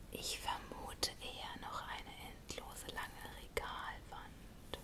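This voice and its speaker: Very slow whispering from a woman. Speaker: ASMR creator. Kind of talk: whispered bedtime story reading. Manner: whispered, soft. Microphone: studio mic.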